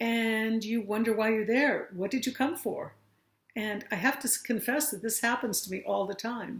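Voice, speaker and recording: Somewhat breathy, a woman with a fairly high pitch talks at a moderate pace with fairly even intonation. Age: 60s. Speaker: aging workshop facilitator. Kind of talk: talk to an audience.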